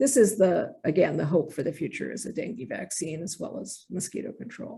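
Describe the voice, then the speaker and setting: Vocal fry runs through a woman's dark, mellow, medium-pitched voice. She speaks at a fairly quick pace. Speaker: infectious disease physician, professor. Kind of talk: lecture.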